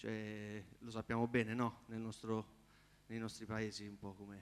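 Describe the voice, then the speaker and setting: This is a plain, everyday voice. It keeps a moderate pace. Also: man. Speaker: competing singer-songwriter. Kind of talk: audience Q&A after performance. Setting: theatre stage with audience.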